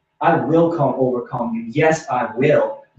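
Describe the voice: A man's medium-pitched voice with a slightly mellow tone, a fairly slow pace, ordinary pitch variation and audible room echo.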